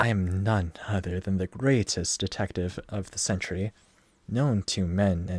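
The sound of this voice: An unforced reading voice carries the whole clip.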